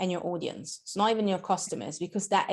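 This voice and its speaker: Speaking at a fairly quick pace with an Italian accent, a woman keeps a medium pitch and fairly even intonation. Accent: Italian accent, noticeable. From Italy. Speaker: marketing educator. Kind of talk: podcast interview.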